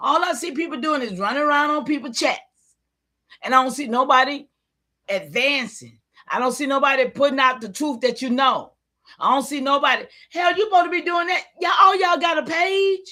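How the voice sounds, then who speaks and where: A woman's high, raised, projected voice, bright and sharp, with an animated tone, lively intonation and a fairly quick pace. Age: 70s. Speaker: livestream host. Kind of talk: livestream rant. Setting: live stream with chat.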